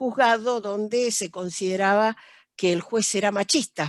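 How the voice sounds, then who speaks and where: A woman is heard in a very clean recording with a silent background. The sound is dry and close, with no echo. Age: 70s. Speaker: judge. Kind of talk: panel talk, personal testimony. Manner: halting, many fillers.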